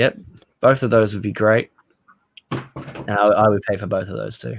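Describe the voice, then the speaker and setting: In an Australian accent, a man delivers his words at a fairly low pitch. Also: ordinary pitch variation, moderate pace. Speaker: comic book podcast host. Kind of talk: casual chat.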